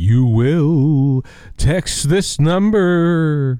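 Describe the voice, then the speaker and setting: A man's put-on character voice at a fairly high pitch. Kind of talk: commanding, instructing. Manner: flat, eerie, ghostly.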